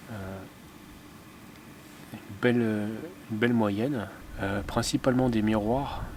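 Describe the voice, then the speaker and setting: Soft-spoken and monotone, a man talks at a fairly slow pace in a medium pitch with flat intonation. There is noticeable background noise. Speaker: fishing vlogger. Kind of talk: casual vlog narration. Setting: outdoors by a lake. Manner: hesitant, many fillers.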